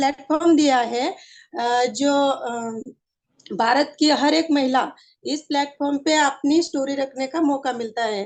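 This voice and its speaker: A woman with a Marathi accent speaks at a high pitch with fairly even intonation. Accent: Marathi-accented Hindi, weak Hindi. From Maharashtra, Aurangabad district. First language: Marathi (speaking Hindi). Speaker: network marketing achiever. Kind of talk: personal testimony. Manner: halting, many fillers.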